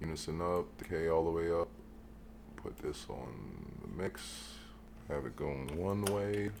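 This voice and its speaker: Speaking softly at a fairly slow pace, the voice has lively intonation, with audible room echo. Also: man, very deep, low pitch for a man. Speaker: music producer. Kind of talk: tutorial. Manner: soft-spoken; halting.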